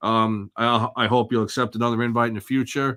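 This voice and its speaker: With a strong New Jersey accent, a man talks at medium pitch and a fairly quick pace. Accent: thick East Jersey. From East Jersey. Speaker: podcast host.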